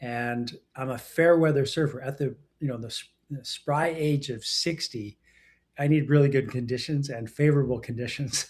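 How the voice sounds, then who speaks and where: Somewhat breathy, a man with a fairly high pitch talks at a moderate pace with fairly even intonation. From Western Canada. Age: 60s. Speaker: entrepreneur and executive coach. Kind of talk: interview.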